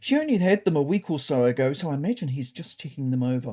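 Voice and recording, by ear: In a put-on character voice, a woman talks fast with a low pitch, big pitch swings, a dark, mellow tone and a slightly husky edge.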